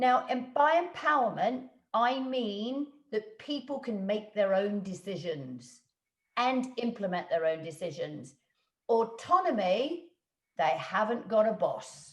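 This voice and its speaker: A woman speaks very slowly in a fairly high, somewhat breathy voice. Her pitch swings very widely. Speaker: business coach and trainer. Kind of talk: webinar talk.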